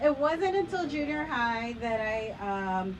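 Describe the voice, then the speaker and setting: Audible room echo surrounds the woman as she speaks. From Chicago suburbs, Mexican-American family. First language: Spanish. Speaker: storyteller. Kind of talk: personal storytelling on stage.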